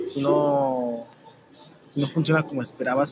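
A man with a Mexican accent speaks at a medium pitch over noticeable background noise. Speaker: YouTube narrator. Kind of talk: casual interview.

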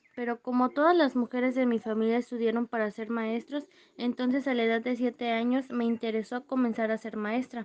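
A high-pitched woman speaks in a monotone, flat intonation at a fairly quick pace with hardly any pauses. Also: dry, close sound with no echo. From Mexico, Veracruz. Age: 20s. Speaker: youtuber. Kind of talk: scripted mock interview.

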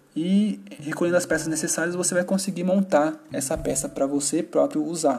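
A high-pitched man talks at a fairly quick pace with hardly any pauses and ordinary pitch variation. Noticeable background noise sits behind him. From Brazil, São Paulo. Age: 30s. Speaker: gaming podcast host. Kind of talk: casual solo podcast talk.

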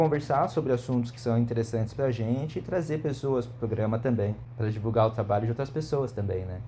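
Somewhat breathy, with a dark, mellow tone, a man speaks at a fairly quick pace. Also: medium pitch for a man, ordinary pitch variation, hardly any pauses, big swings in loudness. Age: 30s. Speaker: podcast host. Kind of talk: casual chat.

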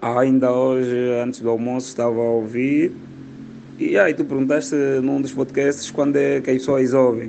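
Over noticeable background noise, a man with an Angolan accent speaks at a medium pitch in a monotone, flat intonation. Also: moderate pace. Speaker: comedian. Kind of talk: voice message.

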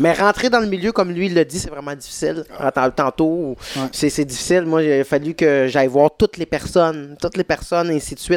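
Speaking at a fairly quick pace with hardly any pauses, a man has a fairly high pitch and ordinary pitch variation, in a dry, close sound with no echo and noticeable background noise. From Quebec, Saint-Jean-sur-Richelieu. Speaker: stand-up comedian. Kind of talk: casual chat.

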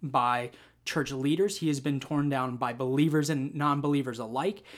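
A man with a normal speaking voice talks at a moderate pace in a fairly high pitch. The recording is very clean, with a silent background. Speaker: podcast host. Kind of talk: casual chat, faith discussion.

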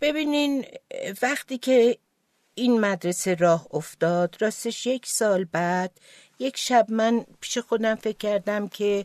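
Against a quiet background, a woman with an Azerbaijani accent speaks very slowly in a fairly high voice with lively intonation and a dry, close sound with no echo. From Tehran, Iran, of Azerbaijani family. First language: Azerbaijani Turkish (speaking Persian). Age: 70s. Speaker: charity founder, former midwife. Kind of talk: interview storytelling.

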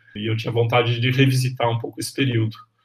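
The intonation is fairly even. Behind the voice sits noticeable background noise. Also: man. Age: 50s. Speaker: history professor. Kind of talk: interview.

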